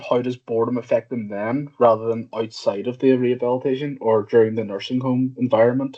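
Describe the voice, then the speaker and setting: The speaker has a Northern Irish accent. The pace is moderate and the intonation fairly even. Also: man. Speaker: PhD student, audience member. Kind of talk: conference Q&A question. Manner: halting, hesitant.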